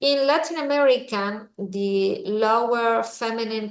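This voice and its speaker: Audible room echo surrounds a woman speaking with a Spanish accent and lively intonation. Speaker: visiting professor, economist. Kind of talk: lecture. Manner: halting, many fillers and repetitions.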